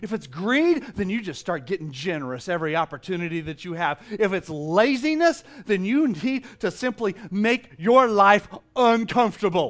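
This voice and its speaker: Against a quiet background, a man with a high voice talks at a moderate pace, swinging his pitch very widely. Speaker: pastor. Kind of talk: sermon, direct exhortation to the congregation. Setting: church stage with congregation. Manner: casual and jokey, with frequent repetitions and fillers.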